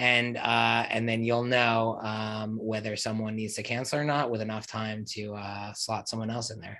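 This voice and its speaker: This man has an American accent and a fairly low pitch with a bright, sharp tone. His delivery is monotone and flat, with hardly any pauses. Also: moderate pace. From New Jersey. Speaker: tech company founder. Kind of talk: interview.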